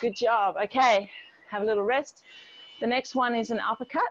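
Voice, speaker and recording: Ordinary pitch variation in a woman's voice. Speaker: fitness instructor. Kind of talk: workout class instruction. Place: garden.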